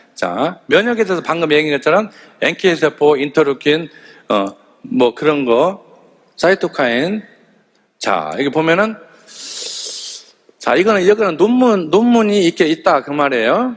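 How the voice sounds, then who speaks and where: Speaking at a fairly high pitch, a man makes very wide pitch swings and leaves long, frequent pauses. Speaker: health supplement sales lecturer. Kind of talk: lecture. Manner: animated; fast.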